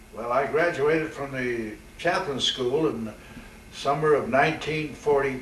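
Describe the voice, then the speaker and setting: With an American accent, a man speaks at a moderate pace and a fairly high pitch. His pitch varies an ordinary amount, and there is noticeable background noise. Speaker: retired Navy chaplain, WWII veteran. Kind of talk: interview answer.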